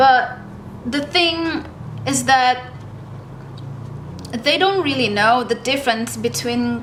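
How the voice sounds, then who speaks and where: Amid noticeable background noise, a woman with a non-native accent speaks at a very slow pace in a relaxed, high-pitched tone. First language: not English. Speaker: artist YouTuber. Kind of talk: casual chat while painting. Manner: relaxed, hesitant with fillers.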